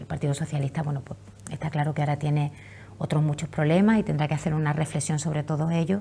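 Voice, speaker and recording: Speaking very fast in an Andalusian accent, a woman has a somewhat breathy, dark, mellow voice with a very deep, low pitch. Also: fairly even intonation. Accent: Andalusian, Cádiz area. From Campo de Gibraltar, Andalusia, Spain.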